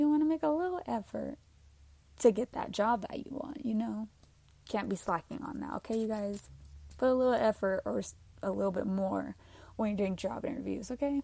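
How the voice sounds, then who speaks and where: Somewhat breathy, with a dark, mellow tone, a woman speaks at a fairly high pitch with lively intonation. Her pace is fairly quick, broken by long, frequent pauses. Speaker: podcast host. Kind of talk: casual monologue. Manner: chatty, informal.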